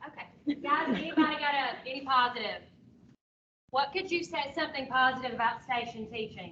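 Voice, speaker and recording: The voice is loud and fairly quick. Its pitch varies in an ordinary way. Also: woman, high pitch for a woman. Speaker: teacher trainer. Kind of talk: workshop presentation. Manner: talkative.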